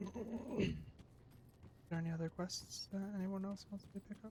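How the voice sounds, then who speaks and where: Quiet and somewhat breathy, a woman speaks at a moderate pace in a dark, mellow tone with fairly even intonation. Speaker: gaming streamer. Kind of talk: live gameplay commentary. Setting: home stream, neighbors upstairs. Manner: quiet, held-down voice.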